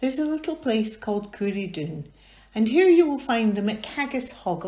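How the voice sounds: The words come in a natural reading voice.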